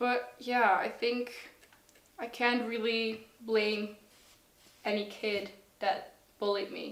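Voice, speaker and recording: In a Dutch accent, a woman speaks at a very slow pace with long, frequent pauses and a fairly high pitch. Her intonation is monotone and flat, with audible room echo. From Netherlands. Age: 20s. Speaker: student. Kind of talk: personal testimony interview. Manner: hesitant, with fillers.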